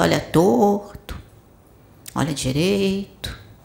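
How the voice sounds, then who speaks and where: A woman with a Brazilian accent speaks at a medium pitch in a warm tone, her intonation lively, with noticeable background noise. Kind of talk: sermon. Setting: spiritual center with audience. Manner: didactic, direct rhetorical questions; warm, paternal, exhorting.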